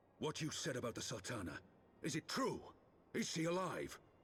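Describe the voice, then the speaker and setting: A man's raspy put-on character voice, fairly high in pitch with very wide pitch swings and very even loudness. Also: moderate pace. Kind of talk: formal archaic speech. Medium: video game.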